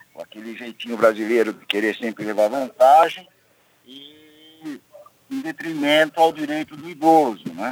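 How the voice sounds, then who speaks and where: The loudness swings widely throughout. Delivery is fairly slow, with ordinary pitch variation. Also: man, fairly high pitch for a man. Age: 60s. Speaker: engineer. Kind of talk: live radio interview. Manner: halting.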